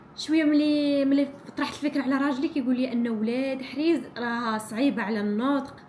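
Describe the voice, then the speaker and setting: Amid noticeable background noise and audible room echo, a woman speaks at a high pitch and a moderate pace. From Morocco, Ouled Hriz region. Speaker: vlogger, small business owner. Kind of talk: casual vlog talk. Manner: halting, many restarts.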